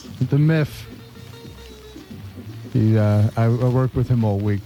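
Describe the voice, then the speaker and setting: Over music in the background, a man with a medium pitch talks at a fairly slow pace, his intonation fairly even and his loudness very even. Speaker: radio DJ. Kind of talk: casual on-air banter. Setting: studio. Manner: easygoing.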